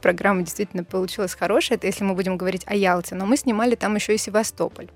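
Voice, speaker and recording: Noticeable background noise fills the clip. A woman talks at a medium pitch. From Russia, Bryansk. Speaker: TV presenter. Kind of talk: casual chat.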